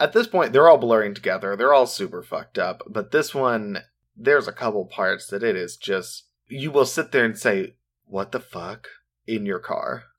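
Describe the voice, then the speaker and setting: An American-accented man speaks at a moderate pace and medium pitch. His intonation is lively, and the recording is very clean with a silent background. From US Midwest. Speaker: true crime podcast co-host. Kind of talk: casual chat with case storytelling.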